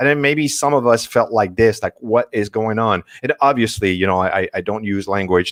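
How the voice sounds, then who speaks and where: Recorded with a dry, close sound and no echo, a man with a French accent speaks in a fairly low pitch at a moderate pace. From France, Paris. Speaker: marketing strategist. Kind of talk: presentation.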